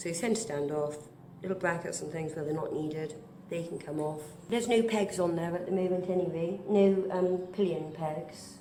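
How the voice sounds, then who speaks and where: A woman with a British accent speaks in a fairly low voice at a moderate pace with fairly even intonation, over noticeable background noise. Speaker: artist and amateur motorcycle restorer. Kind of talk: casual talk to camera.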